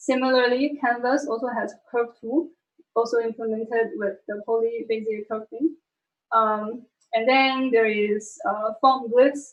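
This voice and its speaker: A woman talks fairly slowly, her fairly high voice showing ordinary pitch variation. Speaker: tech presenter. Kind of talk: technical talk to colleagues on livestream. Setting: online stream with screen sharing. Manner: many filler words, hesitant.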